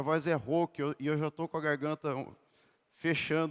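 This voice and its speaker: Animated in tone, a man speaks at a fairly high pitch with a dry, close sound and no echo. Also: very clean recording, silent background. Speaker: lay preacher and PE teacher. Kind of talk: sermon.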